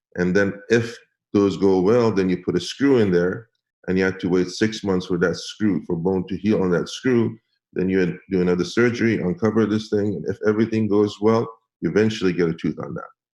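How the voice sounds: A man's low, slightly mellow voice at a fairly quick pace, with ordinary pitch variation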